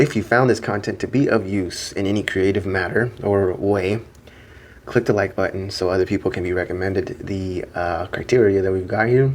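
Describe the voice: A man puts on a character voice that is quiet, raspy and fairly low-pitched. He keeps a moderate pace and fairly even intonation.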